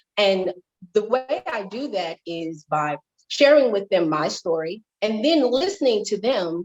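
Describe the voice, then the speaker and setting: A woman's voice with very wide pitch swings, in a dry, close sound with no echo. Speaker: life and wellness coach, motivational speaker. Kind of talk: interview.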